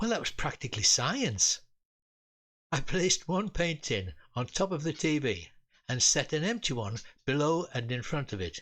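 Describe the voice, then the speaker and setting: Someone with a British accent talks at a moderate pace with very wide pitch swings over a quiet background. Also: man. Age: 80s+. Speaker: retired engineer and storyteller. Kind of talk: humorous personal memoir storytelling.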